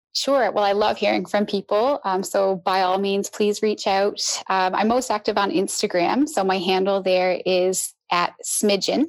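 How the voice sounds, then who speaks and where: A woman's medium-pitched voice, an ordinary speaking voice with ordinary pitch variation and very even loudness. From Newfoundland, Canada. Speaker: hunter. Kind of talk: podcast interview.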